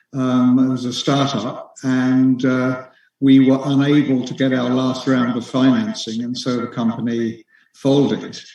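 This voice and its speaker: In an English accent, a man with a dark, mellow tone and a medium pitch speaks at a fairly slow pace with monotone, flat intonation. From England. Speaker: author. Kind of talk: interview. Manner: halting, with many fillers.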